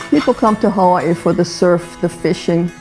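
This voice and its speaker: With clear music playing in the background, a woman speaks at a moderate pace. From Hawaii. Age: 80s+. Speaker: rancher. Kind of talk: documentary interview answer. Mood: proud, reflective. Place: home room.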